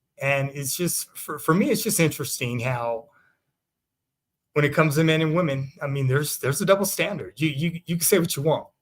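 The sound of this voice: A man with a fairly high pitch keeps to a moderate pace. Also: ordinary pitch variation.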